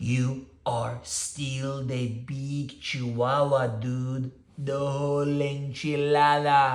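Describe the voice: This put-on character voice uses a Spanish accent at a low-to-middle pitch. It moves very slowly in a monotone, flat intonation, with long, frequent pauses.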